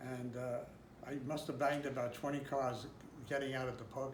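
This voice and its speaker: A man speaks at a moderate pace with a medium pitch and fairly even intonation over noticeable background noise. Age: 80s+. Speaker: graphic designer. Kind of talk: interview answer.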